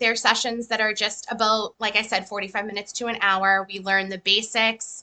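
In an American accent, a woman talks fairly slowly with hardly any pauses. She has an unremarkable speaking voice, fairly high in pitch, with fairly even intonation. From Massachusetts. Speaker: EFT practitioner. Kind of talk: casual interview.

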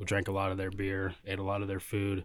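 With an American accent, a man speaks at a moderate pace in a very deep, low pitch on a very clean recording with a silent background. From Kansas, Valley Center. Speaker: brewery canning line operator. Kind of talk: casual chat.

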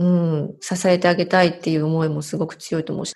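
A woman speaks against a quiet background. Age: 40s. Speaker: bilingual MC and narrator. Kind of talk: interview.

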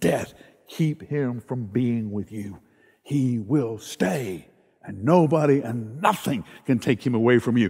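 A man speaks with a Southern US accent. His pitch varies in an ordinary way. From US South. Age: old. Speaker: pastor. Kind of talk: sermon. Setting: online worship service.

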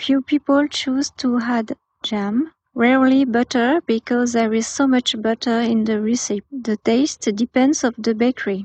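A woman with a French accent, high in pitch, at a fairly slow pace. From France. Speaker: guest contributor. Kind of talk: prepared statement.

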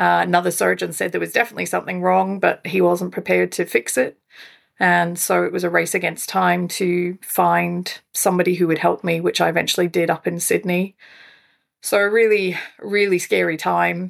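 Speaking quickly-ish in a Scottish accent, a woman is heard on a very clean recording with a silent background, her pace fairly quick. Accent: non-Australian accent, audibly Scottish. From Scotland. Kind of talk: interview, personal story.

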